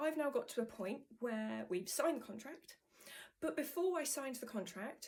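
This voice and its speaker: A woman speaks in a somewhat breathy voice. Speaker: author. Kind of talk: vlog update. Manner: hesitant, many fillers; casual.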